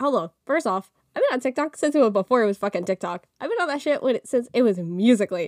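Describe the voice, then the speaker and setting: A woman talks very fast in a high voice with lively intonation, the sound dry and close with no echo. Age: 20s. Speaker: podcast host. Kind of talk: casual solo monologue.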